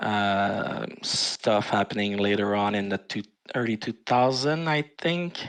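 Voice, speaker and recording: This man speaks with a French Canadian accent in a fairly low voice. His pace is fairly slow and his intonation lively. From Quebec, Canada. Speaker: forum moderator. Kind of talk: casual chat. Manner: hesitant, many fillers.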